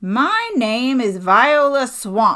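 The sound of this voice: A female-sounding, put-on character voice comes out raspy, raised and projected at a high pitch.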